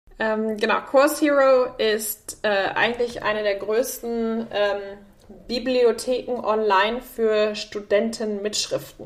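A woman with a fairly high pitch speaks at a very slow pace, with fairly even intonation and hardly any pauses. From Germany, Münster area. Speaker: tech executive. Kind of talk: interview.

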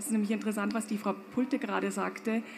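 This is a woman speaking. Audible room echo surrounds her voice. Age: 50s. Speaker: fashion company owner. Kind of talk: panel discussion. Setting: stage with audience.

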